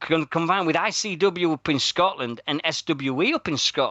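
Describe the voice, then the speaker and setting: A man with a Yorkshire accent speaks at a high pitch. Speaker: radio host. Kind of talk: casual chat.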